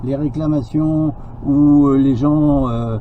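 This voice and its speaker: A man is speaking. His pitch is fairly high. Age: 70s. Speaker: business association president. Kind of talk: interview. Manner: hesitant, many fillers.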